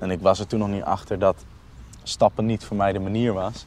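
Moderate pace, fairly even intonation and fairly low pitch from a man. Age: 20s. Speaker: youth worker. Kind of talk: casual conversation. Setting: outdoors, walking through the city. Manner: halting.

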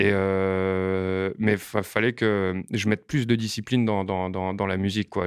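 In a quiet background with a dry, close sound and no echo, a man speaks in a monotone, flat intonation. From France, Montreuil (Paris suburbs). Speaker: rapper. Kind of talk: casual interview. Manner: hesitant with frequent fillers and repetitions.

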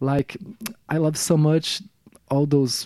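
A man in a Brazilian accent, with a dark, mellow tone, fairly even intonation and moderate pace, in a dry, close sound with no echo. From Brazil, Rio de Janeiro. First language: Portuguese. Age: 40s. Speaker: musician. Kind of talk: casual interview. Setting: radio studio. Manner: halting, many repetitions.

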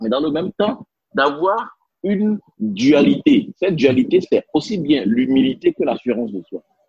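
In a dry, close recording with no echo, a man with a fairly high voice and vocal fry speaks fairly slowly, his pitch swinging very widely. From Benin. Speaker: leadership consultant and interpreter. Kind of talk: interview. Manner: hesitant fillers.

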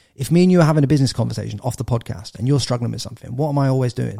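Speaking at a very fast pace, a man with an English accent has a medium pitch for a man. His tone is dark and mellow, and somewhat breathy. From England. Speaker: entrepreneur and podcaster. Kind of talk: casual interview chat.

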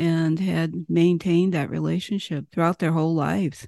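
In a quiet background, a woman talks fairly slowly with an American accent and fairly even intonation. Her voice is fairly low, with a dark, mellow tone and a dry, close sound without echo. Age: 70s. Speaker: Native women's advocate and activist. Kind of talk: interview. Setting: remote call.

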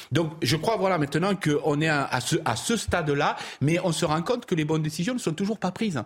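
Over noticeable background noise, a man with a southern French accent talks at a moderate pace in a fairly high pitch, with lively intonation and very even loudness. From Provence, southern France. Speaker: political commentator. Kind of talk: panel discussion.

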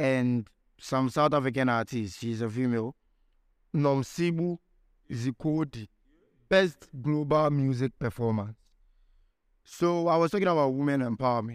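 Speaking with a Ghanaian accent, a man talks at a moderate pace with long, frequent pauses. His medium-pitched voice has an animated tone and ordinary pitch variation. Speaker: podcast host. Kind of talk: casual chat. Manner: animated, slangy.

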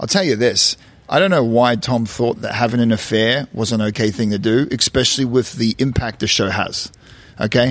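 In a plain, everyday voice, a man speaks at medium pitch and a moderate pace with ordinary pitch variation. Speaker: reality TV cast member. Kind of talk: casual interview.

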